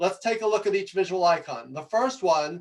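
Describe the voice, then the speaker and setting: Speaking in a New York accent, a man uses a high pitch with ordinary pitch variation. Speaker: presentation coach. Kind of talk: talk to audience. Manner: fast; animated.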